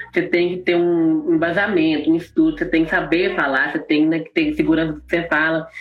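Talking at a very fast pace, a woman uses a fairly low pitch, with noticeable background noise behind her. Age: 20s. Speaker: drag queen and singer. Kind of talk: live interview.

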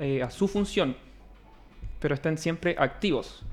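Music plays behind a man speaking at a moderate pace. His pitch is fairly high. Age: 20s. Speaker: physiotherapist. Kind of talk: casual interview.

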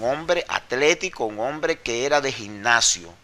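A man's voice carries vocal fry and a bright, sharp tone. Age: 50s. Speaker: former wrestler. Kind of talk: interview.

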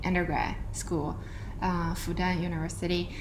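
With noticeable background noise behind her, a woman speaks at a moderate pace in a Chinese accent. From northeastern China (Dalian, Liaoning). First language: Mandarin Chinese. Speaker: data scientist. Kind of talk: casual interview. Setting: in person, before dinner. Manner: halting, many fillers.

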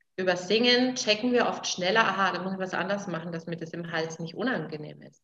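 A woman's ordinary speaking voice, fairly quick in pace, with ordinary pitch variation. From Franconia, Nuremberg (Germany). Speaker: vocal coach. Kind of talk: interview. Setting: her studio.

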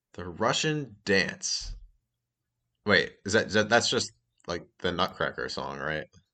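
With a quiet background, a man with an American accent speaks at a fairly slow pace with long, frequent pauses, using a bright, sharp tone, vocal fry, a fairly low pitch and very wide pitch swings. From Massachusetts. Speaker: podcast co-host. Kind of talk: casual chat.

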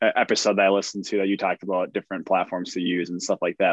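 A man is heard against a quiet background in a dry, close sound with no echo. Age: 20s. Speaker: podcast host. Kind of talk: casual interview.

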